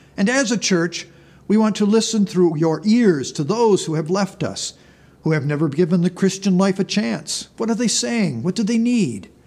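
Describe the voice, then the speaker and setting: With lively intonation and a moderate pace, a man speaks in a high pitch. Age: 70s. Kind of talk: sermon. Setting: church. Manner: formal.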